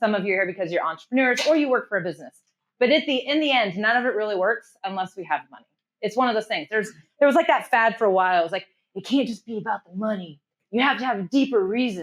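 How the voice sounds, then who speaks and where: A fairly high-pitched woman at a very fast pace, lively in intonation with big swings in loudness, against a quiet background. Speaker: marketing strategist and workshop presenter. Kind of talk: live workshop presentation. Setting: room with live audience. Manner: high energy, informal.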